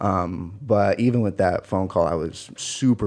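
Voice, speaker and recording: Recorded very cleanly against a silent background, a man with an American accent has a dark, mellow tone and a fairly low pitch with ordinary variation. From Washington State, near Seattle. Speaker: college football player. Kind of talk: interview.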